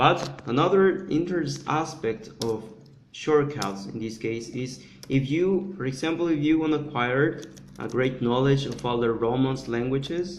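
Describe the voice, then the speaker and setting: There is audible room echo as a man with a Spanish accent speaks fairly slowly at a fairly high pitch. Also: ordinary pitch variation. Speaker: polyglot conference speaker. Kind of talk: conference presentation. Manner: halting, many repetitions and fillers.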